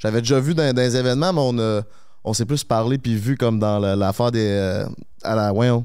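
With a Quebec accent, a man speaks at a moderate pace in a medium-pitched, dark, mellow tone. His loudness stays very even, his pitch varies in an ordinary way, and the background is quiet. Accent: Québécois French. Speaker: podcast host. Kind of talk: casual chat. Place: studio. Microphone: handheld.

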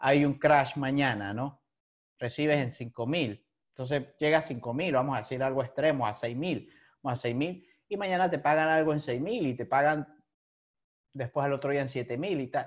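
With a fairly high pitch, a man talks at a moderate pace with ordinary pitch variation against a quiet background. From Venezuela. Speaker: podcast host. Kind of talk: casual interview chat. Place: home room. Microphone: video call.

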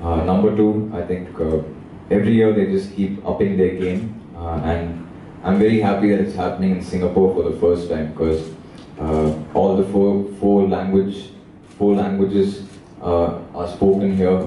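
With a very deep, low pitch and monotone, flat intonation, a man speaks at a moderate pace amid light background noise and audible room echo. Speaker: panelist. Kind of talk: press conference answer. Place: hall.

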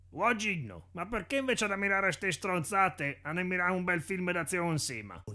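In a Tuscan accent, a man speaks fairly quickly and high-pitched, with ordinary pitch variation and hardly any pauses. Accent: Carrara dialect. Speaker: amateur comedy dubber. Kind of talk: parody commercial voiceover.

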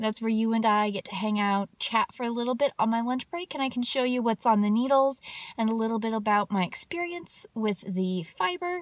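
A woman with a fairly high pitch and lively intonation talks at a fairly quick pace with hardly any pauses. The background is quiet and the sound is dry, with no echo. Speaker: knitting vlogger. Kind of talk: casual chat. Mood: cheerful, relaxed. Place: car. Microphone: phone near.

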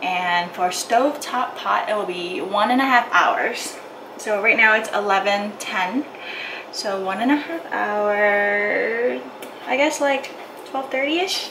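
Noticeable background noise fills the clip. Through it, a woman talks very slowly. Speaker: home cook vlogger. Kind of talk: casual vlog chat. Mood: cheerful, amused. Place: kitchen. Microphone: phone near.

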